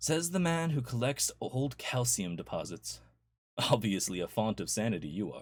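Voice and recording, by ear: Reading aloud in a natural voice, with lively intonation over a quiet background.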